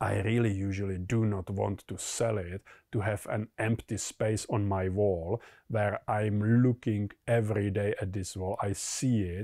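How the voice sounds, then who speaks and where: With a Czech accent, a man talks at a fairly slow pace in a flat monotone, his fairly low voice dark and mellow. The recording is very clean, dry and close, with a silent background and no echo. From Czech Republic. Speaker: collectibles investor. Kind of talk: explainer monologue. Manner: hesitant, many fillers.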